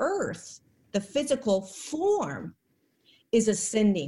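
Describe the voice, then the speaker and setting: Her voice is fairly high for a woman and somewhat breathy. The tone is dark and mellow. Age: 40s. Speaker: spiritual channel and ascension guide. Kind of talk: casual interview.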